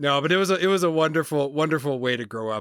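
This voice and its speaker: A man with an Atlantic Canadian accent and ordinary pitch variation, in a dry, close sound with no echo. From Canada, New Brunswick (Maritimes). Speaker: consultant and podcast host. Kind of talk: interview.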